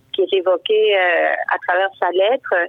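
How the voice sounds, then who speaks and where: Here a woman is talking. She goes at a fairly slow pace. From Uruguay. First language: Spanish (speaking French). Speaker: writer. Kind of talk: interview. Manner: hesitant.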